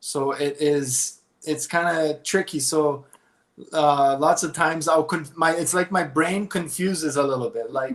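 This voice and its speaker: A man's fairly high-pitched voice with fairly even intonation at a fairly slow pace. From Brazil and Canada, grew up bilingual in Brazil. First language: Portuguese. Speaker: guest interviewee. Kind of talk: interview. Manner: hesitant, many fillers.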